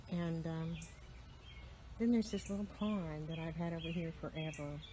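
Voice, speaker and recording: A woman whispers at a moderate pace. Her voice sounds somewhat breathy. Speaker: farm and garden vlogger. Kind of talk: casual garden tour vlog. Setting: outdoors on a garden bench. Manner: whispering; relaxed with filler ums.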